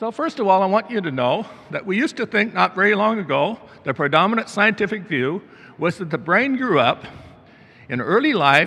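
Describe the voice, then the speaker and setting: This man speaks with a high pitch at a moderate pace. His voice is raised and projected, with very wide pitch swings. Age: 70s. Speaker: neuroscientist. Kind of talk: conference talk.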